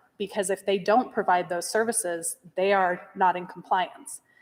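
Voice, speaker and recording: A woman with a normal speaking voice, medium in pitch, with an American accent, fairly even intonation and a moderate pace. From US, local rural school district. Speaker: parent speaking at public meeting. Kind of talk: public comment at school board meeting.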